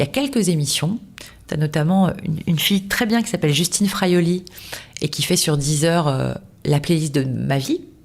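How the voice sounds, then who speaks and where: A woman speaks at a moderate pace with a fairly low pitch and a somewhat breathy quality. Her intonation is lively. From southern France, Toulouse. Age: 40s. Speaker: radio host. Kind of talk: casual interview. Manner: animated, many fillers.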